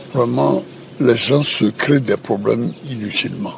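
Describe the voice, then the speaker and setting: A man at a very slow pace, with noticeable background noise. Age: 80s+. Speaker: former president. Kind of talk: interview answer. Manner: hesitant, halting.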